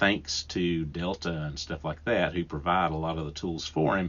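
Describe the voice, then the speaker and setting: At a moderate pace, a man speaks with a strong Southern US accent. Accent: thick Southern US. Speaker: podcast host and woodworker. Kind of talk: solo podcast talk. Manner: casual, with frequent restarts and fillers.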